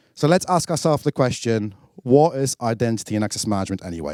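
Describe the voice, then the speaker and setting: A man with a British accent, medium in pitch, animated in tone with very wide pitch swings, at a fairly quick pace, on a very clean recording with a silent background and a dry, close sound with no echo. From UK. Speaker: product marketing director, keynote speaker. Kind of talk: conference keynote. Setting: stage with audience.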